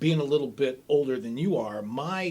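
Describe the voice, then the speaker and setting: A man with a normal speaking voice talks with lively intonation. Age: 60s. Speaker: stand-up comic and lawyer. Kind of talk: casual chat.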